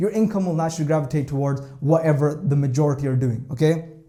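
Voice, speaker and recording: Talking at a very fast pace in an animated tone, a man is heard over noticeable background noise with audible room echo. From Scotland. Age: 20s. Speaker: trader and vlogger. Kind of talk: vlog monologue. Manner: animated, filler-heavy.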